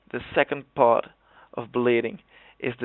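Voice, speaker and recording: A man speaks with a Dutch accent at a fairly slow pace. His pitch sits in the medium range. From Netherlands. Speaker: gaming video creator. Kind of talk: tutorial. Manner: halting.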